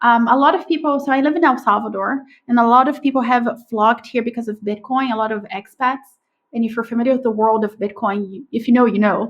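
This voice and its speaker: A woman with a Brazilian accent talks at a very fast pace. Her pitch is fairly high, with ordinary pitch variation. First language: Portuguese. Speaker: podcast agency owner. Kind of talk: interview conversation. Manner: animated.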